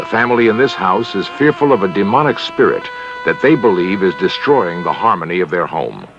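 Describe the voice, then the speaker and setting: A man with a calm tone at a moderate pace, music in the background. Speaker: documentary host, narrator. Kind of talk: vintage documentary narration. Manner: calm, measured.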